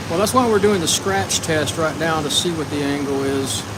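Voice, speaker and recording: At a moderate pace and with lively intonation, the voice carries audible room echo and noticeable background noise. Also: man. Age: 60s. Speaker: shear sharpener. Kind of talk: live stream demonstration chat. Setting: workshop. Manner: casual, conversational.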